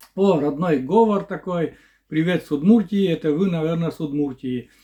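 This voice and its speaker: This man has a high pitch, a dark, mellow tone and ordinary pitch variation. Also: moderate pace, quiet background. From Komi Republic, Russia. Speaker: village vlogger. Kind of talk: casual Q&A vlog. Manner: halting, with fillers.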